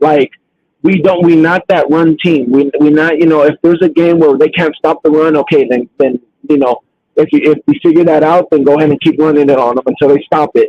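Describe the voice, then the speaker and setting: This man's voice has a fairly high pitch and fairly even intonation. He talks at a fairly quick pace with very even loudness. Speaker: podcast host. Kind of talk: casual chat.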